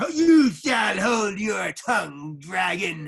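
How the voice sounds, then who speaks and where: Putting on a character voice, a man speaks at a very slow pace with a high pitch and very wide pitch swings. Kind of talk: archaic, grandiose speech. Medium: stage play. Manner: intense, stammering when cornered.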